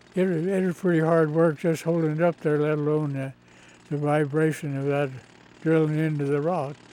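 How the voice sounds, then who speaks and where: Over noticeable background noise, a speaker with an American accent talks at a fairly quick pace in a monotone, flat intonation. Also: man, fairly high pitch for a man. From central California. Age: 90s. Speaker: former conservation corps worker. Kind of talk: interview.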